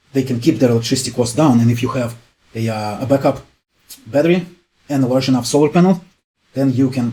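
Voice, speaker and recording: A somewhat breathy voice with a dark, mellow tone speaks at a very fast pace. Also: man. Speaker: YouTube energy and home improvement presenter. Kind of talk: explainer video monologue. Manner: casual, many fillers.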